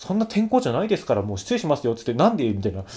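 This man's voice carries vocal fry and very wide pitch swings. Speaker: solo podcast host. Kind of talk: casual solo talk. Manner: fast.

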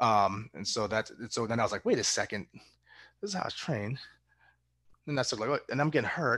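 Speaking at a fairly quick pace with an American accent, a man has a bright, sharp tone, medium pitch, and lively intonation. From Massachusetts, US. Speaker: track and field coach. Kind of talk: casual interview.

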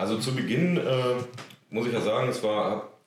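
There is audible room echo as a man speaks. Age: 20s. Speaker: amateur footballer. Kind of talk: casual chat. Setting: on location at a club.

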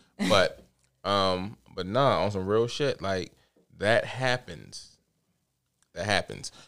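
A man with an American accent talks at a very slow pace, with long, frequent pauses. The recording is very clean, with a silent background. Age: 30s. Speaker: father. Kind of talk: casual chat.

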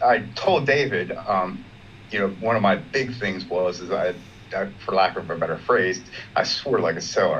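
Noticeable background noise sits behind a man with an American accent. His voice is fairly low and his pace moderate. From Maryland, US. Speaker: Buddhist student. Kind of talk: personal sharing. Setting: video call.

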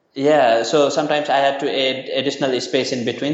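A man at medium pitch talks at a fairly quick pace with fairly even intonation, amid noticeable background noise and audible room echo. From Nepal. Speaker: university lecturer and nonprofit founder. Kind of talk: interview. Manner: hesitant, many fillers.

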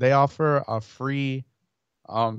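Recorded with a dry, close sound, no echo and a quiet background, a man with an American accent speaks at medium pitch. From Chicago, US Midwest. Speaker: lawn care YouTuber. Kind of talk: casual livestream chat. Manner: animated.

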